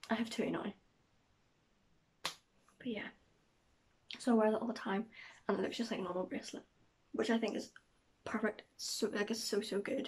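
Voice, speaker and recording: A fairly high-pitched woman's voice with vocal fry, monotone, flat intonation, and long, frequent pauses. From Northern Ireland. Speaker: vlogger. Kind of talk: casual vlog talk to camera. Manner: fast.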